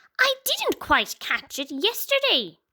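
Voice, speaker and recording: A woman's squeaky put-on character voice, extremely high in pitch, with very wide pitch swings and a fairly slow pace. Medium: read story.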